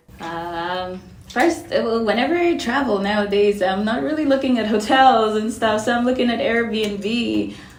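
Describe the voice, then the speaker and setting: In audible room echo, a woman speaks at a moderate pace with lively intonation. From Cameroon. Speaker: real estate investor. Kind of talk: interview.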